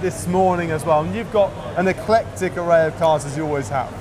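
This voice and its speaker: A man talks at a fairly quick pace with a high pitch and ordinary pitch variation. Noticeable background noise can be heard. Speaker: presenter. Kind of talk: casual presenter banter. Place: hall. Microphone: lapel.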